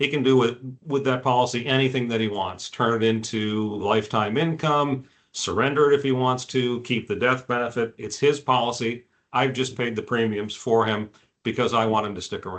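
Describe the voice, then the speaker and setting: A man's unremarkable speaking voice at medium pitch, moderate pace and fairly even intonation. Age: 60s. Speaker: executive benefits insurance specialist. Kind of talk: webinar presentation. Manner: casual, with frequent fillers.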